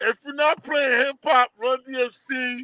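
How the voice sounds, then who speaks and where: Raising and projecting his voice, a man speaks fairly slowly at an extremely high pitch, his tone bright and sharp and his intonation fairly even. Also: dry, close sound with no echo. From Brooklyn, New York (Crown Heights), born in Haiti. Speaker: documentary producer. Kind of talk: casual interview. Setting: live stream.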